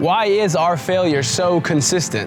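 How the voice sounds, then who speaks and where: The speech moves at a fairly slow pace with lively intonation. Music plays in the background. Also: man. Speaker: former college football player, spoken word performer. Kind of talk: spoken word poetry performance.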